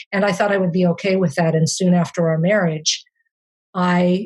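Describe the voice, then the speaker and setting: Her voice is somewhat breathy and fairly low for a woman, with fairly even intonation. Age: 60s. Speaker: memoir author. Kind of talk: interview. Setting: podcast interview. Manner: halting.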